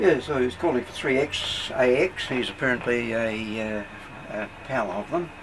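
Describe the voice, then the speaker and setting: Background noise is noticeable here. Over it, a man speaks at moderate speed with ordinary pitch variation. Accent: Australian. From Australia. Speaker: ham radio operator. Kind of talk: casual talk to visitor. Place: home room. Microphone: old recording.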